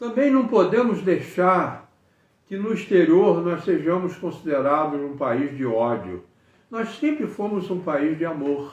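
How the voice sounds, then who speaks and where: A man with a high pitch talks at a fairly slow pace, his pitch swinging very widely. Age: 80s+. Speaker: engineer giving political commentary. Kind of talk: political monologue to camera. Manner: halting, with repetitions.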